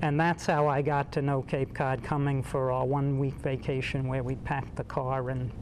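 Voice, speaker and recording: With a Bronx accent, a man speaks at a moderate pace in a medium pitch, his intonation monotone and flat, with hardly any pauses. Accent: Bronx New York accent, noticeable. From New York City, the Bronx. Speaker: painter, artist. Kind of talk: interview.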